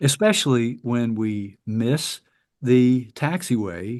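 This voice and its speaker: A man at a medium pitch with ordinary pitch variation, over a quiet background. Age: 60s. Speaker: paramotor flight instructor. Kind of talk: presentation with Q&A. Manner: halting, frequent repetitions and fillers.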